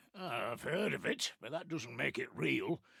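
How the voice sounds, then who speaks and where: The voice is raspy. It belongs to a man doing a put-on character voice. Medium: video game. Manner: gruff, sardonic.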